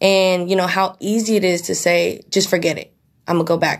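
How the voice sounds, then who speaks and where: This is a very clean recording with a silent background. The speaker talks in a Bay Area accent. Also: woman. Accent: Bay Area American. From East Bay, California. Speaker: junior broker, mentee. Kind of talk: interview.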